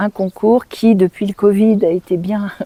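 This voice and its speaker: A woman's medium-pitched, monotone, flat delivery in a dry, close sound with no echo. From France, Nancy (Lorraine). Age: 60s. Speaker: speech therapist. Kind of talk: interview.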